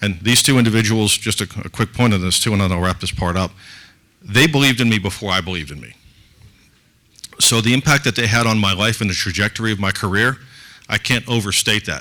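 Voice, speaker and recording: A man speaks at a very fast pace with a fairly low pitch and ordinary pitch variation. His speech is broken by long, frequent pauses. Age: 60s. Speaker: conference co-founder and business advisor. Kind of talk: conference talk.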